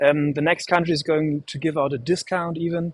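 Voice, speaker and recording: A man with a fairly high pitch and a German accent, in a dry, close recording with no echo. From Germany. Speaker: livestream host. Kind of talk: live stream hosting. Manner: halting, many fillers.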